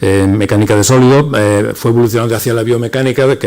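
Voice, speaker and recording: A man speaks at a very fast pace with fairly even intonation. Noticeable background noise runs behind him. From Andalusia. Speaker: academic presenter. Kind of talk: speaker introduction.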